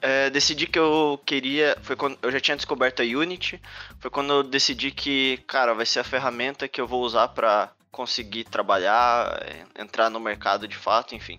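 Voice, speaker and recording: Music playing behind a male voice of medium pitch. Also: fairly even intonation, moderate pace. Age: 20s. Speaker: game developer and startup cofounder. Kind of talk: talk to students. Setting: video call.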